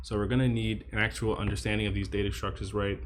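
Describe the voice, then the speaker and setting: Rushing along at a very fast pace, a man with a fairly low pitch speaks with vocal fry. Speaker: coding practice streamer. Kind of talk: think-aloud coding tutorial. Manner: repetitive stammering.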